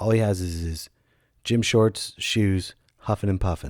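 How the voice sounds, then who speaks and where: Over a silent background in a very clean recording, a man talks very slowly at a fairly low pitch with ordinary pitch variation. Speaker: comedian and podcast host. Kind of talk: casual podcast monologue. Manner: loud; animated.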